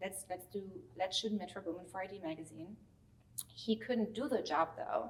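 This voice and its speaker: A woman speaks with a strong German accent at a moderate pace and medium pitch. Her voice is somewhat breathy, with ordinary pitch variation. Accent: thick German. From Germany. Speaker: celebrity stylist. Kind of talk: interview. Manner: casual, many fillers.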